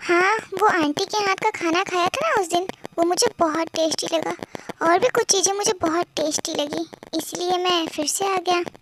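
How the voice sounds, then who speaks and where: A woman's put-on character voice, extremely high-pitched and smug, with fairly even intonation, a moderate pace, and a dry, close sound with no echo. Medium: read story. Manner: smug, flirtatious.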